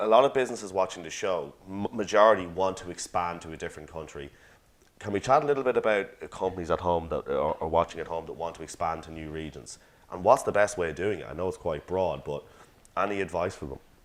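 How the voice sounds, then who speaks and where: A man speaks at a very fast pace in a very deep, low voice with ordinary pitch variation. His loudness swings widely. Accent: Irish. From Ireland. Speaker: interview host. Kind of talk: interview. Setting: studio.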